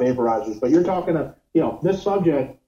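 A man with an American accent talks at a fairly quick pace. His tone is dark and mellow, with lively intonation. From New York. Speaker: cannabis vaporizer company executive. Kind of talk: interview.

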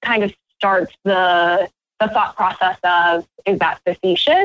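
With an American accent, a woman of medium pitch speaks at a very slow pace and a very even loudness. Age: 20s. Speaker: former beauty pageant contestant. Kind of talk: interview.

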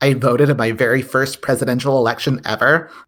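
On a very clean recording with a silent background, a man with an ordinary speaking voice speaks at a moderate pace, medium in pitch, with fairly even intonation. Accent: American. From Texas. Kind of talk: casual chat.

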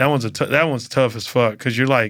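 A man talks at a very fast pace in a bright, sharp tone. His intonation stays fairly even. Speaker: comedian. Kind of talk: casual chat. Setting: studio.

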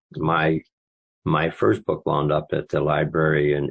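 Vocal fry runs through this man's very deep, low voice. He speaks with an American accent. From eastern Maine, US. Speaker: author. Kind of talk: interview. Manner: halting, repetitive.

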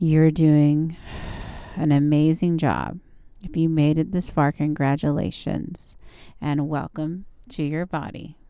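Delivered at a very slow pace with long, frequent pauses, the voice has a dark, mellow tone, a calm, soothing tone and fairly even intonation. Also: woman, very deep, low pitch for a woman. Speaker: yoga instructor. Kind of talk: guided yoga class with step-by-step pose cues and breath prompts. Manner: calm, slow, soothing coaching with repeated gentle encouragements like good and breathe; relaxed, informal, slightly halting with fillers and self-corrections.

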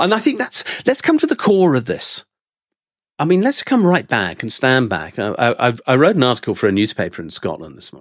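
Loudness swings widely as the speaker talks at a fairly quick pace with a British accent. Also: man. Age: 60s. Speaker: economics and accountancy professor. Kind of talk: casual political discussion.

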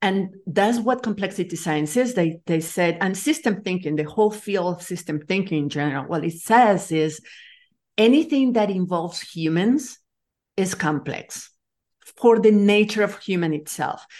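A woman with a Spanish accent, lively intonation and a moderate pace. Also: medium pitch for a woman, quiet background. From Nicaragua. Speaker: leadership coach and complexity scientist. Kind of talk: interview.

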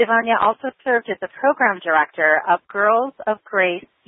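A woman's plain, everyday voice, moderate in pace and medium in pitch, with an American accent and lively intonation. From Chicago, US Midwest. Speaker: podcast host, fear coach. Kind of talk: podcast interview.

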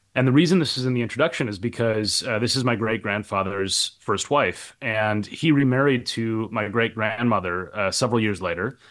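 In a normal speaking voice, a man with an American accent talks at a fairly quick pace and medium pitch, with hardly any pauses. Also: ordinary pitch variation. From Minnesota, US Midwest. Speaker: professor and author. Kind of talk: interview. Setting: hotel room.

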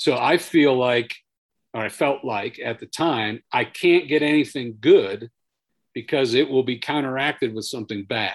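An ordinary speaking voice from a man at a moderate pace, with ordinary pitch variation and a quiet background. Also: medium pitch for a man. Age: 50s. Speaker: retired army sergeant major, veterans program director. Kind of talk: interview about personal trauma.

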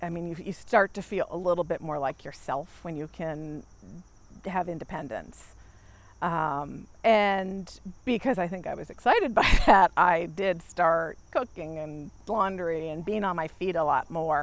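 A normal speaking voice from a woman with an American accent, fairly low in pitch, fairly slow, with ordinary pitch variation, big swings in loudness and a quiet background. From Maryland. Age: 40s. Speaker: knee replacement patient. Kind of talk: interview testimony. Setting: outdoors.

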